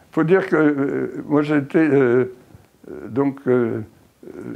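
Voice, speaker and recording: A very slow male voice, fairly high in pitch, with ordinary pitch variation. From Egypt, Suez Canal zone (French family). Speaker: oral history interviewee. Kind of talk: oral history interview. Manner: halting, many hesitations.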